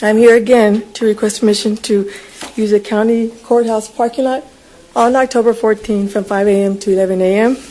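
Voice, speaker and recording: Over noticeable background noise, a woman with an American accent and a fairly high voice speaks in a monotone, flat intonation. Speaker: event organizer addressing county court. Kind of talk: public request at government meeting.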